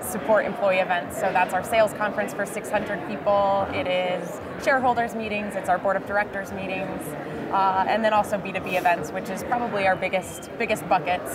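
At a fairly quick pace, a woman speaks through loud background noise. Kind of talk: interview answer. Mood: cheerful, smiling. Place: hall. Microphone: lapel.

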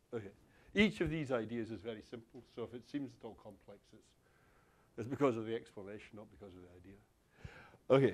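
The speaker talks at a fairly quick pace in a Scottish accent. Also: man, medium pitch for a man, ordinary pitch variation. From Glasgow, Scotland. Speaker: university lecturer. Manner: conversational, checks in with the audience often.

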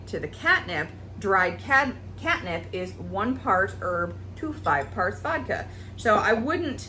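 A woman's voice against light background noise. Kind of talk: tutorial. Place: kitchen.

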